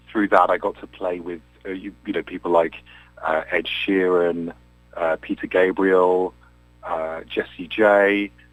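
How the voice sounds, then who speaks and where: A man with an English accent, very deep and low in pitch, flat and monotone, at a fairly slow pace, with music in the background. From England, Cambridge. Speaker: singer-songwriter and session musician. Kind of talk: radio interview.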